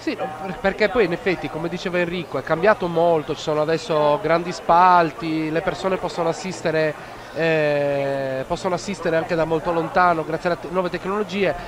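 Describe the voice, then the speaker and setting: Noticeable background noise sits behind a man with a high pitch. He speaks at a fairly quick pace with fairly even intonation. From Switzerland, near Zurich. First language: Swiss German (speaking Italian). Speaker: live event commentator. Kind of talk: live commentary.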